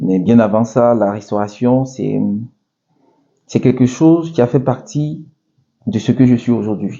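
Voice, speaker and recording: Speaking with an Ivorian accent, a man uses a medium pitch and ordinary pitch variation at a fairly slow pace with long, frequent pauses. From Ivory Coast, Abidjan. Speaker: restaurant owner. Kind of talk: interview. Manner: hesitant, many fillers.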